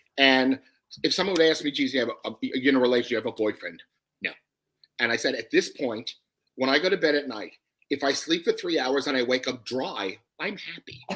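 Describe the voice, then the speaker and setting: A man with a New York accent speaks at a fairly quick pace. His medium pitch shows ordinary variation. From New York, Brooklyn. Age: 60s. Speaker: comedy writer. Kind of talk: casual chat.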